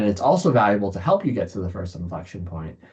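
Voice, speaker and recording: A man's somewhat breathy voice sits at a fairly low pitch, dark and mellow in tone with ordinary pitch variation. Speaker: startup founder and investor giving a keynote. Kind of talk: keynote presentation with slides. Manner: many filler words and self-corrections.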